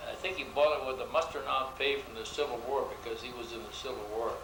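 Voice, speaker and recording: There is audible room echo and noticeable background noise as a man with an American accent talks at a fairly high pitch with ordinary pitch variation. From US Northeast, Rochester, New York. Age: 80s+. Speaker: longtime neighborhood resident. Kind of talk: oral history interview. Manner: halting, with fillers.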